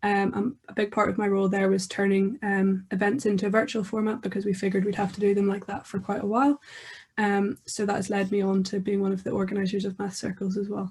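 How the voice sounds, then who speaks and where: In a Northern Irish accent, a woman with a medium pitch speaks at a very fast pace, somewhat breathy and in a flat monotone, on a very clean recording with a silent background. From Belfast, Northern Ireland. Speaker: university student. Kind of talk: conference presentation.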